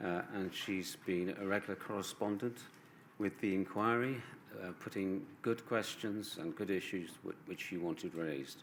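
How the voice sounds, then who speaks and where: A man speaks quietly with a British accent at a very deep, low pitch. His pace is moderate and his pitch variation ordinary. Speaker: barrister. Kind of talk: legal closing submission. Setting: inquiry hearing room. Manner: halting.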